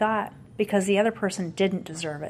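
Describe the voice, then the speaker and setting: A woman speaks at a fairly quick pace. She has a normal speaking voice with ordinary pitch variation. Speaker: company founder and CEO. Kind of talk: interview conversation.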